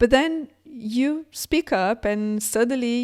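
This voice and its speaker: The recording is very clean, with a silent background and a dry, close sound with no echo. A woman speaks with ordinary pitch variation. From Brazil. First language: Portuguese. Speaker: tech entrepreneur, keynote speaker. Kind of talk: keynote talk. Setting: conference.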